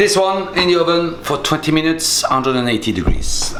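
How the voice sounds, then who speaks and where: In a French accent, a man with a fairly high pitch talks at a moderate pace with very wide pitch swings, heard through audible room echo and noticeable background noise. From France. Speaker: chef. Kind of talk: cooking tutorial. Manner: casual, lively.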